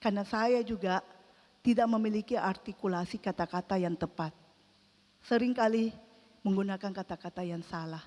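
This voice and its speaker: Using ordinary pitch variation, a woman talks at a moderate pace and medium pitch in a dark, mellow tone. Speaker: lay preacher at prayer meeting. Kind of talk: sermon. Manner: halting.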